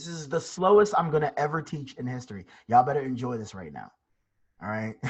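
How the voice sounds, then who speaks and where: The pace is very fast. A man delivers it with lively intonation. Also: medium pitch for a man, big swings in loudness. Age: 20s. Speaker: trading instructor. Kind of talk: live online class.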